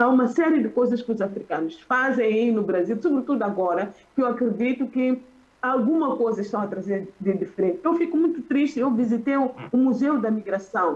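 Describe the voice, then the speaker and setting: Over noticeable background noise, a high-pitched woman talks fairly quickly with lively intonation and very even loudness. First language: Xichangana (speaking Portuguese). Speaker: academic panelist. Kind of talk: conference panel talk. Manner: halting. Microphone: poor internet connection.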